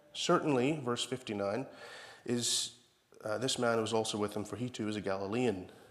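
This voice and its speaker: A man speaks at a moderate pace with medium pitch and ordinary pitch variation. There is audible room echo. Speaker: preacher. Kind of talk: sermon.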